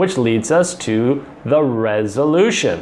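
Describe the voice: Lively intonation marks this plain reading aloud.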